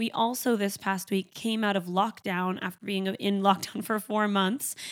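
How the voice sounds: At a fairly slow pace, a woman speaks at a medium pitch with little pitch movement.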